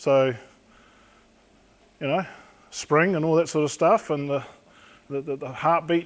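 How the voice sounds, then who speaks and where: On a very clean recording with a silent background, a man with a New Zealand accent speaks at a moderate pace in a fairly high voice with ordinary pitch variation. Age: 60s. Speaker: police crash investigator. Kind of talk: talk to an audience.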